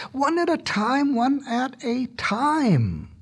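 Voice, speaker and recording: A man's put-on character voice at an extremely high pitch, very slow, with ordinary pitch variation. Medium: read story. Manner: pompous, self-satisfied.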